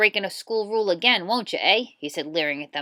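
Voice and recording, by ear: Lively intonation from a natural voice reading aloud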